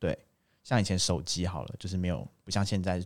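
A man's fairly low voice, an ordinary speaking voice, in a very clean recording against a silent background. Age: 20s. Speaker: engineer. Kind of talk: casual chat.

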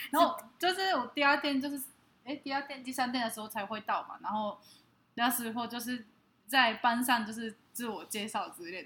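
This woman has a fairly high voice with a bright, sharp tone. She talks at a moderate pace. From Japan. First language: Japanese (speaking Chinese). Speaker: podcast co-host. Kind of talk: casual chat.

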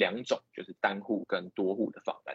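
This is a man speaking at a moderate pace. The sound is dry and close with no echo. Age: 20s. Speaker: startup co-founder. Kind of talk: lecture.

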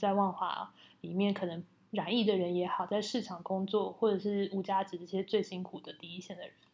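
An unremarkable speaking voice from a woman, medium in pitch, with fairly even intonation and a moderate pace. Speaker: podcast co-host. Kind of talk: casual chat.

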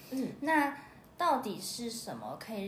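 Fairly slow speech from a woman, with noticeable background noise and audible room echo. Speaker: music teacher and podcast host. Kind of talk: casual chat.

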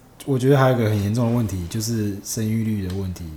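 Audible room echo surrounds a man who talks at a very fast pace with ordinary pitch variation. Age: 30s. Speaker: podcast host. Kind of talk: casual chat. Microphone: cheap microphone.

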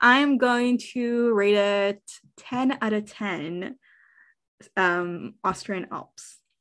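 A woman's fairly high-pitched voice at a very slow pace, against a quiet background. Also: ordinary pitch variation. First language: not English. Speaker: podcast co-host. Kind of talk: casual chat.

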